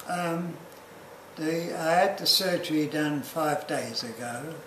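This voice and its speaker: Speech comes at a very slow pace with an Australian accent and fairly even intonation. Noticeable noise sits in the background. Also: man. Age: 80s+. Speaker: hip replacement patient. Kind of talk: interview answer.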